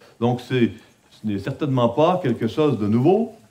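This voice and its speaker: A man speaks with a Quebec accent. His intonation is lively. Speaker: conference speaker on biblical counseling. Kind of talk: conference talk. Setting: conference with audience. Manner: hesitant, many filler sounds.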